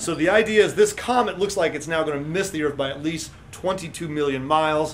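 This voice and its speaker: Music plays in the background. A man talks at a fairly quick pace with a fairly high pitch. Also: ordinary pitch variation. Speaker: science educator co-host. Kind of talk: casual chat. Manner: halting.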